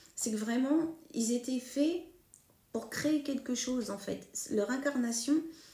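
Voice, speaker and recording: A woman talks with a high pitch and ordinary pitch variation. Her pace is fairly slow, broken by long, frequent pauses. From northern France (Hauts-de-France, Picardy). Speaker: medium. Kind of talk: monologue to camera. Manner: hesitant, many fillers.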